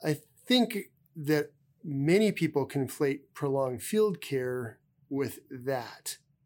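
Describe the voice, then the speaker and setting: On a very clean recording with a silent background, a man with an American accent speaks at a fairly high pitch with lively intonation. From US Midwest (South Dakota). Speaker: army general and physician. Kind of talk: interview. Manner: halting, frequent repetitions.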